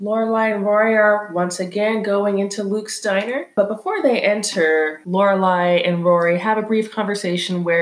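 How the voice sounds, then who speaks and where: Noticeable background noise sits behind a woman speaking at a moderate pace and medium pitch. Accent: American. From California. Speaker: podcast co-host. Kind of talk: casual chat.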